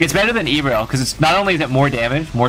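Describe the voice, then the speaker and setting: A man rattles along at a very fast pace while music plays behind him. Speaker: streamer. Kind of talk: live stream commentary and gameplay advice. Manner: animated.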